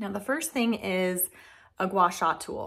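Slow speech from a woman on a very clean recording with a silent background

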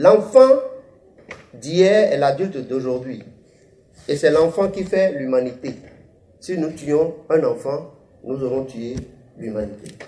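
Here a man speaks at a very slow pace, leaving long, frequent pauses. His fairly high voice has lively intonation. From Benin. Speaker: author. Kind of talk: interview statement; public talk. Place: hall. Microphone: handheld.

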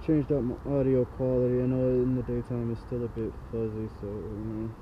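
Mumbling at a fairly quick pace, a man talks at a medium pitch with monotone, flat intonation over light background noise. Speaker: electric bike rider. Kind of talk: casual ride vlog talk. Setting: outdoors. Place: motorbike. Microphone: helmet.

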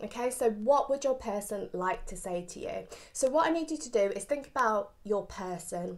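Lively intonation carries a fairly quick pace over a quiet background. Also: woman. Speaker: tarot reader. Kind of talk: casual vlog chat. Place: home room. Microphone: phone near.

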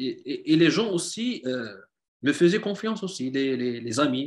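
The intonation is lively, and the background is quiet. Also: man. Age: 40s. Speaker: hobbyist woodworker, civil servant; guest. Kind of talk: interview. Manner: halting, many repetitions. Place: home room. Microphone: video call.

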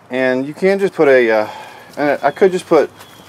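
Moderate-paced speech from a man over background music. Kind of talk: casual tutorial narration. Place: garden. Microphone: phone near.

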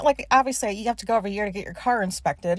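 Dry sound with no echo against a quiet background. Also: woman. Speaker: podcast host. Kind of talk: casual ranty podcast monologue. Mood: annoyed, venting. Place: car.

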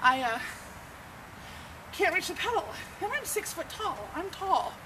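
Noticeable background noise sits behind a woman as she speaks. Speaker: vlogger. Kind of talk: casual vlog chat. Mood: frustrated, candid. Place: street.

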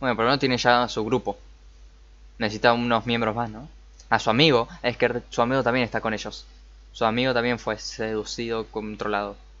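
The delivery is fairly quick. The intonation stays flat and monotone. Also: man. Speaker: anime reactor. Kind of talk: casual reaction commentary. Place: home room.

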